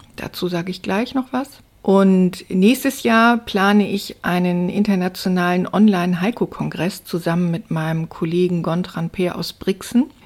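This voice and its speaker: A woman has a plain, everyday voice at a medium pitch with ordinary pitch variation. She talks at a fairly slow pace on a very clean recording with a silent background. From northern Germany, Stade near Hamburg. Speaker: journalist and poet. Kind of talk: interview. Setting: studio.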